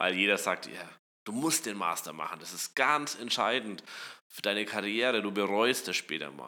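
A man with a bright, sharp tone speaks with lively intonation and big swings in loudness. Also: fairly low pitch for a man, moderate pace. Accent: slight Franconian. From Upper Franconia, Germany (Kulmbach). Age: 20s. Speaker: startup co-founder and CTO. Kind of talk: casual interview.

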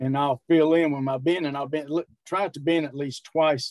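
An ordinary speaking voice from a man, fairly high in pitch, with ordinary pitch variation at a moderate pace, dry and close with no echo. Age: 60s. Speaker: strongman and powerlifter. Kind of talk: casual interview.

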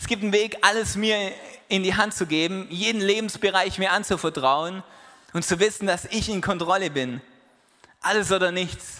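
With an animated, warm tone that is also bright and sharp, a man uses a raised, projected voice at a high pitch, moving at a moderate pace with ordinary pitch variation. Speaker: preacher. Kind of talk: sermon. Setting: church. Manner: animated, conversational, warm and encouraging; direct and persuasive, quoting Jesus in casual voice.

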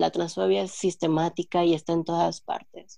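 A woman's fairly low-pitched voice, a plain, everyday voice, at a moderate pace with ordinary pitch variation. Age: 20s. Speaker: linguist. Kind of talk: casual chat.

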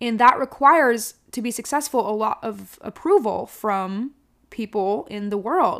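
A loud, energetic woman's voice, fairly high in pitch, with lively intonation at a fairly slow pace, in a very clean recording against a silent background. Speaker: podcast host. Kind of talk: casual solo podcast monologue. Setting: home, alone in the house. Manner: energetic, loud.

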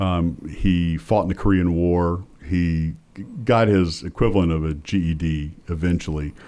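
A dark, mellow voice in a Southern US accent, fairly slow, with fairly even intonation. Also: man, very deep, low pitch for a man. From US South. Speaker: political science professor and pollster. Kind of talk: interview. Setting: studio.

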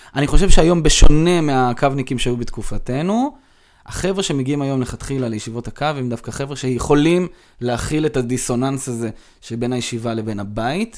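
An ordinary speaking voice from a man, medium in pitch, at a fairly quick pace with big swings in loudness. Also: ordinary pitch variation. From Israel, Rehovot and Modiin. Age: 30s. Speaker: informal education manager. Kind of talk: interview conversation. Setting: in person.

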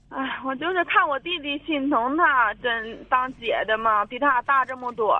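At a fairly slow pace with hardly any pauses, a woman speaks high in pitch with ordinary pitch variation. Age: 30s. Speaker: caller seeking family advice. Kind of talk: phone-in advice call. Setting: phone call. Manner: quiet.

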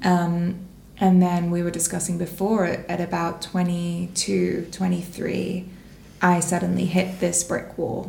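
Amid noticeable background noise and audible room echo, the voice moves at a very slow pace in a monotone, flat way. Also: woman, fairly low pitch for a woman. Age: 20s. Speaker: women's wellness space founder. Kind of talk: casual chat.

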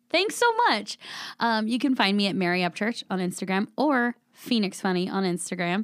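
Here a woman has an unremarkable speaking voice at a medium pitch. She talks at a moderate pace with ordinary pitch variation. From Southern California (Vista, San Diego County). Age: 40s. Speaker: comedian. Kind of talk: casual chat.

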